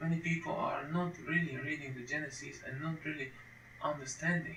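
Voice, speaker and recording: A man with a non-native accent speaks at a fairly slow pace, his intonation fairly even. Audible room echo and noticeable background noise fill the recording. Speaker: Bible teacher. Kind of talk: lecture. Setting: home recording at computer. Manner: halting, with frequent repetitions.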